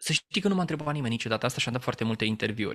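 A man is speaking against a quiet background. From Romania, Teleorman; Romania. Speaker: business trainer and former radio journalist; interview guest. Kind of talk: interview. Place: home room. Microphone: studio mic.

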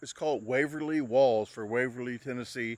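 A man on a dry recording with no echo and a quiet background. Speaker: vlogger. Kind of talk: casual vlog chat. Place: open country. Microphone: phone near.

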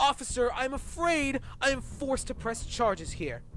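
A man uses a cartoonish character voice at an extremely high pitch. His pitch swings widely, and his pace is fairly slow.

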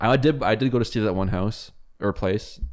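A man speaks with a Canadian accent. The background is quiet. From Canada. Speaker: podcast co-host. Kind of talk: casual chat. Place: home room. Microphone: studio mic.

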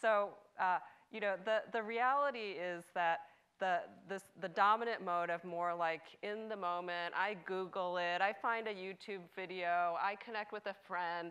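A woman's bright, sharp voice at a fairly slow pace, with fairly even intonation and a quiet background. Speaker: cultural anthropologist. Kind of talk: panel discussion. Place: stage.

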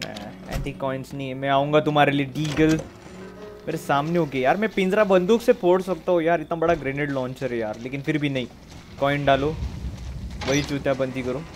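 The speech unfolds at a moderate pace. Music can be heard in the background. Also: man, ordinary pitch variation. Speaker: game streamer. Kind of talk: casual gameplay commentary. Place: home room. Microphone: headset.

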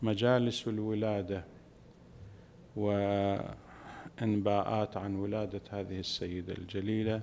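Over light background noise, a man with a dark, mellow tone speaks at a very slow pace in a monotone, flat intonation. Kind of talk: sermon. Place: hall. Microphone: podium.

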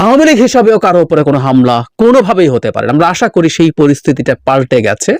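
A man's high voice makes very wide pitch swings in a dry, close sound with no echo. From Bangladesh, Rangamati district. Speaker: political commentator. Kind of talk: political commentary monologue. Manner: halting.

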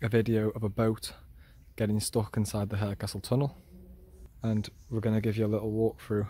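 With a fairly low pitch and a dark, mellow tone, a man speaks at a fairly quick pace in a somewhat breathy, flat monotone, with a dry sound and no echo. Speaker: explorer vlogger. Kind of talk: casual walkthrough commentary. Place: waterside. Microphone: phone near.

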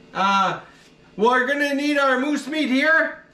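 A man talking at a very slow pace with ordinary pitch variation, amid audible room echo. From Meander River, Alberta, Canada. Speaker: outdoorsman, hunting and cooking video host. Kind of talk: casual cooking tutorial to camera. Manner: casual, hesitant. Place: kitchen. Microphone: camera far.

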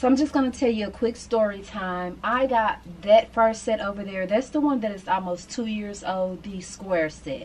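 With ordinary pitch variation, a woman keeps a moderate pace as she talks. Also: big swings in loudness. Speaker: lifestyle vlogger. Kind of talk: casual vlog chat. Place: home room.

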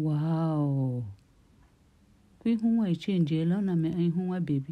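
Speaking at a very slow pace with a Nigerian accent, a woman's voice has a dark, mellow tone, very even loudness and ordinary pitch variation. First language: Igbo. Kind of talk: casual commentary over video. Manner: excited, amused.

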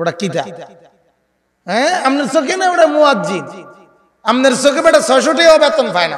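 A man speaks in an animated tone at an extremely high pitch, his pitch swinging very widely. Light background noise sits behind him. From Bangladesh. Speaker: Islamic preacher. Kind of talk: sermon. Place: stage. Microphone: handheld.

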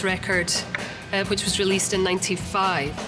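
Clear music plays in the background as a woman with a Scottish accent talks at a fairly quick pace. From Scotland. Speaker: rock singer. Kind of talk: interview answer. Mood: enthusiastic, smiling. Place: studio. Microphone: lapel.

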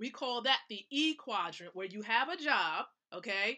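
Her voice is raised and projected, with an animated tone and lively intonation. The woman keeps a moderate pace. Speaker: wealth mentor and live show host. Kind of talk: motivational live stream talk.

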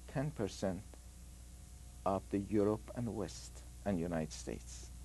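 A man's dark, mellow voice with vocal fry and very wide pitch swings, at a fairly slow pace. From Iran, Tehran. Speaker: nuclear engineer. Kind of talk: interview.

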